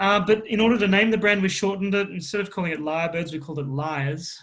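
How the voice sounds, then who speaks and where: In an Australian accent, a man talks at a fairly quick pace. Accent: Australian, moderate. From Queensland, Australia. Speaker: drinks company founder. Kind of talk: interview.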